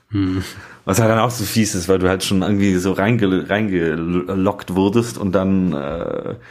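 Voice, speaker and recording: Fairly slow delivery with fairly even intonation. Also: man. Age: 30s. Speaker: podcast co-host, app developer. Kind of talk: casual chat.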